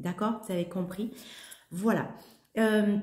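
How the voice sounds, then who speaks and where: A somewhat breathy woman at medium pitch, talking very slowly, with audible room echo. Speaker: holistic coach and yoga teacher. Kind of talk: spiritual talk to camera. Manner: halting, many hesitations.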